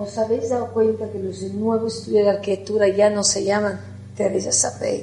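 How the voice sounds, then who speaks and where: A woman talks at a moderate pace. There is audible room echo and noticeable background noise. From Italy. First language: Italian (speaking Spanish). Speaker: architect. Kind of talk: conference talk.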